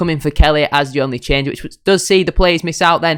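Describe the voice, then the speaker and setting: A man with a Yorkshire accent speaks at a very fast pace and a fairly high pitch, with fairly even intonation. The recording is very clean, with a silent background. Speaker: football fan YouTuber. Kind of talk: football match preview and score predictions. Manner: fast-talking, usually.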